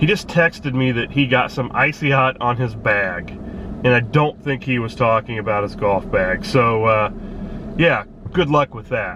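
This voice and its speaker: Noticeable background noise behind a man at medium pitch with ordinary pitch variation. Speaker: watch reviewer and vlogger. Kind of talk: casual vlog. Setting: at home early morning, then in a car. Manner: soft-spoken; hesitant, many fillers.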